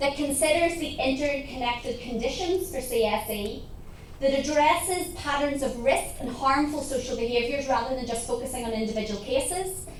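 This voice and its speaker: In a Northern Irish accent, a woman with a high pitch and ordinary pitch variation speaks at a moderate pace, with audible room echo and noticeable background noise. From Northern Ireland. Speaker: research centre director. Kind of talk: conference talk.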